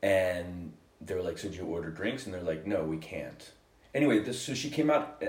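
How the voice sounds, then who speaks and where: Over noticeable background noise, a man speaks in a playful tone at a fairly quick pace. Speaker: podcast co-host. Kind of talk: casual banter. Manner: joking, playful.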